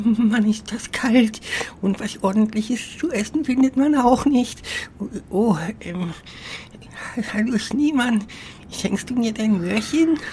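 Against clear background noise, a female-sounding, fairly high put-on character voice moves at a fairly slow pace with long, frequent pauses. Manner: chatty, cheeky, casual.

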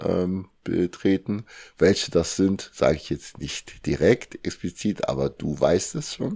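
Very slow and very deep, a man's low voice with a dark, mellow tone comes through on a very clean recording with a silent background. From Germany (Lower Saxony, then Cologne), born in Congo. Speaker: bodybuilding athlete and coach. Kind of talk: interview.

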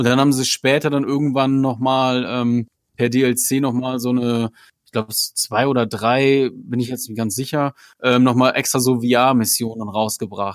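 On a very clean recording with a silent background, a man talks at a moderate pace in a plain, everyday voice. His pitch is medium and his intonation fairly even. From northern Germany, Osnabrück. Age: 30s. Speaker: fellow podcaster, guest. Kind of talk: casual chat.

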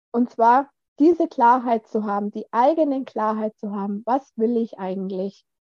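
A woman's fairly high-pitched, normal speaking voice at a fairly slow pace, with ordinary pitch variation. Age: 40s. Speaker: course participant. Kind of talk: casual interview. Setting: video call.

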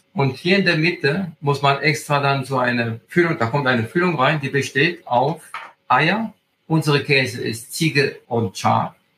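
Fairly high for a man, this voice has an Italian accent and ordinary pitch variation. He speaks at a fairly slow pace. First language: Italian (speaking German). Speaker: agritourism host and hiking guide. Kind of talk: interview. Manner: halting, with many fillers.

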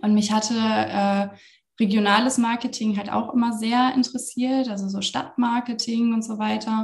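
Her pitch is fairly high, and the intonation stays monotone and flat. The woman keeps to a moderate pace. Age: 30s. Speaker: social media consultant. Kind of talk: interview.

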